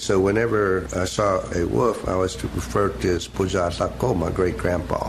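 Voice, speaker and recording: With an Oklahoma accent, a man speaks in a very deep, low pitch with lively intonation. Noticeable background noise runs underneath. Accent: Oklahoma Southern American. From Seminole County, Oklahoma. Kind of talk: oral history interview answer.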